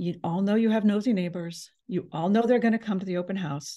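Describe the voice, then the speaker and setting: Over a quiet background, a woman talks at a fairly quick pace, her medium-pitched voice dark and mellow in tone, with ordinary pitch variation. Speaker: real estate agent. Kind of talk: seminar presentation. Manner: fast.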